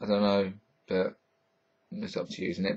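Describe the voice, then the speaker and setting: A man speaks with a Hertfordshire accent. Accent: southern English, Hertfordshire, a bit London. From Hertfordshire, southern England. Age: 20s. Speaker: vlogger. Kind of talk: casual vlog answering viewer questions. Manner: halting, stumbles over sentences; casual, filled with ums.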